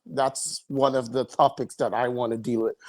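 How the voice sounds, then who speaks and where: The speaker has a Caribbean accent and fairly even intonation at a moderate pace. The recording is very clean, with a silent background. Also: man. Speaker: podcast host. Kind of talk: casual chat.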